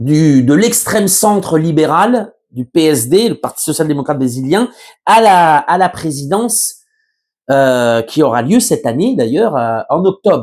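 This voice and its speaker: Delivery is very slow, with very wide pitch swings. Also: man. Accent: slight Berry. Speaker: journalist. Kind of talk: news commentary monologue. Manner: hesitant, many fillers.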